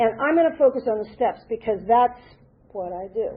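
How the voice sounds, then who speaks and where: Against noticeable background noise, a woman with an American accent talks at a fairly quick pace in a fairly high pitch. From US East Coast (DC area, Boston). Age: 70s. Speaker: recovering alcoholic, singer-songwriter. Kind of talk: recovery talk / testimony. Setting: meeting with audience.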